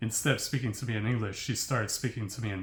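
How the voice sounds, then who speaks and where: A man with an American accent talks at a very fast pace and medium pitch. His voice is somewhat breathy, with fairly even intonation. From United States. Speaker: language learning vlogger. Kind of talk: casual monologue. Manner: hesitant, with fillers.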